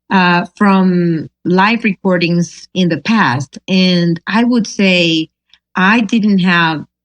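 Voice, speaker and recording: With a Spanish accent, a woman speaks very slowly at a fairly low pitch, the sound dry and close with no echo. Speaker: singer-songwriter. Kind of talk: interview. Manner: halting.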